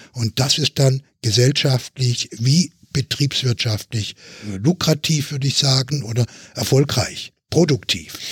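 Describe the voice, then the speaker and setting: A man with a medium pitch and a somewhat breathy voice speaks at a very slow pace with ordinary pitch variation, in a dry, close sound with no echo. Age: 70s. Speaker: physician and health policy expert. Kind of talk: podcast panel discussion. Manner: formal.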